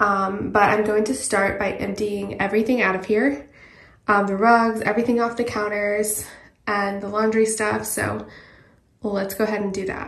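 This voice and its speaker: A woman speaks in a flat monotone against a quiet background, with audible room echo. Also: moderate pace. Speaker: home cleaning vlogger. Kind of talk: casual vlog chat. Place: bathroom. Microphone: phone near.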